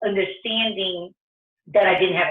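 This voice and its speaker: A woman with a Brazilian Portuguese accent speaks at a fairly quick pace. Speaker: entrepreneur, restaurant founder. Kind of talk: career talk interview. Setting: video call. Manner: halting, many fillers and restarts.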